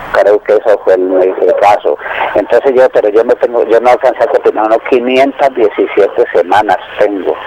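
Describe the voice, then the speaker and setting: At a moderate pace, a man speaks at very even loudness over noticeable background noise. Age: 60s. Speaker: caller, retired miner. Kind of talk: phone-in consultation. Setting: phone call. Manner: halting.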